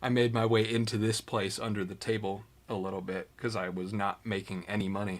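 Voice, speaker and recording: In a relaxed tone, a man speaks with fairly low pitch and monotone, flat intonation. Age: 20s. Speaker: YouTuber, woodworker. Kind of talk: casual livestream chat. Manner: casual, relaxed.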